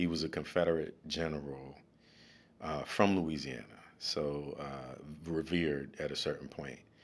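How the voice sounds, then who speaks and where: A man's very deep, low voice with vocal fry, an American accent, fairly even intonation and a fairly slow pace. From US South, New Orleans. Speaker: school diversity director and educator. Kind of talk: casual interview. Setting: studio. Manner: halting, many fillers and repetitions.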